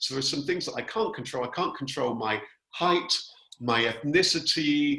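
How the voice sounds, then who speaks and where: The man speaking has a fairly high pitch. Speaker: communication skills trainer. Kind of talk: webinar presentation. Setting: video call. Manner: fast.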